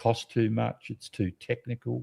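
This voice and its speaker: A man in an Australian accent speaks at a moderate pace with a medium pitch, lively intonation, and a dark, mellow tone. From South Australia, Adelaide. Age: 80s+. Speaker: nature photographer and educator. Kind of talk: interview. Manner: halting.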